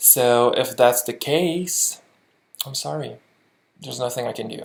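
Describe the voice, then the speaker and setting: Speaking with a French Canadian accent at a fairly slow pace, a man uses medium pitch, ordinary pitch variation and big swings in loudness. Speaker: lip sync competition judge. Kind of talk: video critique.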